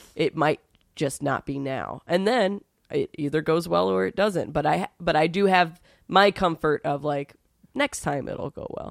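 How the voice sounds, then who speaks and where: A woman's very deep, low voice with vocal fry and an American accent, lively intonation and a fairly slow pace, dry and close with no echo on a very clean recording with a silent background. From New York City. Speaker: stand-up comedian. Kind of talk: casual chat.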